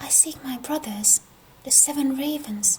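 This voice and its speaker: A woman whispers very slowly in a gentle tone over noticeable background noise. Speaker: storyteller. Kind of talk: bedtime fairy tale reading. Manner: whispered, gentle.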